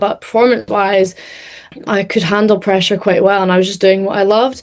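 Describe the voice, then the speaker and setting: This woman speaks with a Scottish accent at a medium pitch. Her pace is fairly quick. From Scotland. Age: 20s. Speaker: racing driver. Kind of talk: interview.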